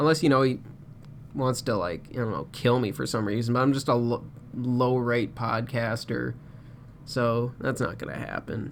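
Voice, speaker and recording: A man's voice sits at a medium pitch, rising and falling with ordinary variation as he talks at a moderate pace. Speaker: podcast host. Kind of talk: solo podcast rant. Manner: animated.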